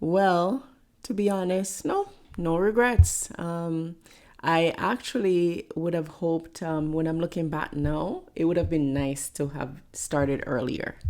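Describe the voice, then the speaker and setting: A woman with a strong Jamaican accent speaks at a fairly slow pace and a fairly low pitch. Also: ordinary pitch variation. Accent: thick Jamaican. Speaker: pastor and motivational speaker. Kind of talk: interview conversation.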